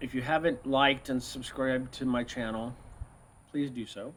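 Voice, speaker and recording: A man is speaking here. His pitch is fairly high and his pace is moderate. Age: 60s. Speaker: YouTuber teaching health, former genetics researcher. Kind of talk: casual tutorial talk to camera. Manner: hesitant, many fillers.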